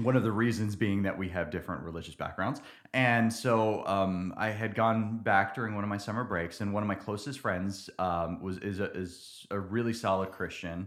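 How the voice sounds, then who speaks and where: Using an ordinary speaking voice, someone with an American accent talks at a moderate pace with fairly even intonation and hardly any pauses. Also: man, fairly low pitch for a man. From New Jersey. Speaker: church member. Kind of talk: interview testimony.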